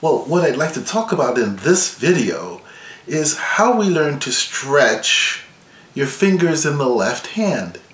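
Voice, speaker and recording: Speaking at a very slow pace, a man with a fairly high pitch makes very wide pitch swings amid audible room echo. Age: 60s. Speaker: violin professor. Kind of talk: tutorial.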